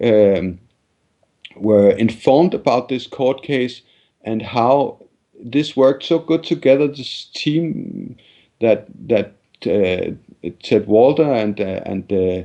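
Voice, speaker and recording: Lively intonation in a dark, mellow tone at a very slow pace, with long, frequent pauses. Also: man, medium pitch for a man. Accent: Danish. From Denmark. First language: Danish. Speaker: journalist and activist. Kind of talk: interview. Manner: halting, many repetitions and fillers.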